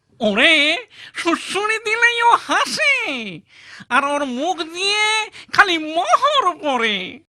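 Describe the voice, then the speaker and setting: A cartoonish character voice with extremely high pitch and very wide pitch swings. It moves at a very slow pace. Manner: wheedling, over-polite.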